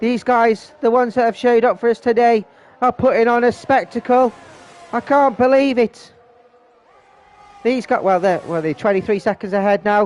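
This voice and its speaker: With music in the background, a man speaks at a moderate pace in a high pitch. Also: dry, close sound with no echo. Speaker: sim racing league commentator. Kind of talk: live commentary. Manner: animated; mumbling.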